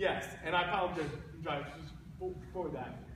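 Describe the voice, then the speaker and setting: The raised, projected voice carries over noticeable background noise with audible room echo. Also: man. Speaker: therapist giving a talk. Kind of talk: talk to children at a camp. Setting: martial arts camp with audience. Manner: halting with repetitions.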